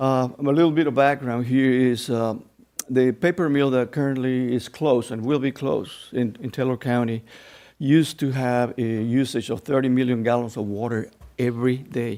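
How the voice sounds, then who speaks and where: A man with a Spanish accent, medium pitch, dark and mellow tone, fairly even intonation and moderate pace. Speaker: retired mill electrical planner, public commenter. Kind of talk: public comment at board meeting. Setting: public meeting room. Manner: halting.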